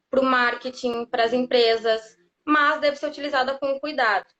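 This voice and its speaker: A woman with a southern Brazilian accent speaks at a fairly slow pace. Her pitch is high and her intonation fairly even. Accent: gaúcho. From southern Brazil, Rio Grande do Sul. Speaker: lawyer specializing in data protection. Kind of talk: live interview, explanatory. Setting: live stream on social media.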